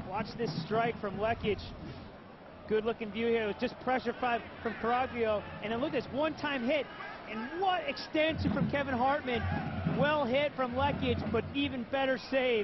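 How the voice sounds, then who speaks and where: The tone is upbeat and the pace moderate. Noticeable background noise runs underneath. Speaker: color commentator. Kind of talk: sports analysis commentary. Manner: explanatory, conversational, upbeat breakdown of replays.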